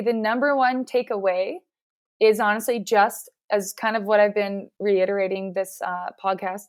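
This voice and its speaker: A woman speaks in a normal speaking voice at a fairly high pitch, with fairly even intonation and a fairly slow pace. The recording is very clean, with a silent background. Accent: Canadian. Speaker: physiotherapist. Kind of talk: interview.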